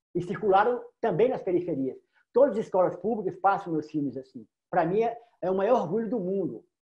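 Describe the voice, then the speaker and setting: Talking at a very fast pace, a man with a high voice uses lively intonation. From Federal District, Brazil. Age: 50s. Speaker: filmmaker; guest. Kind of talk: panel discussion. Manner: casual, repetitive stammering. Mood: passionate, proud. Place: home room. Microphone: video call.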